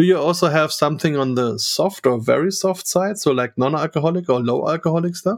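He speaks with a German accent, his pitch fairly high. This man's intonation is lively and his pace moderate. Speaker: podcast host. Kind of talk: casual interview chat.

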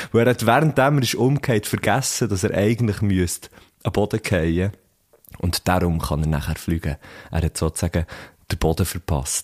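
A man's fairly low voice with lively intonation, a moderate pace and long, frequent pauses. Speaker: podcast host. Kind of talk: casual chat. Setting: studio.

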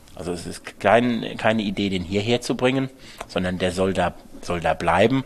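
With lively intonation and a moderate pace, a man speaks in a plain, everyday voice. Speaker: winemaker. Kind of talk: interview conversation.

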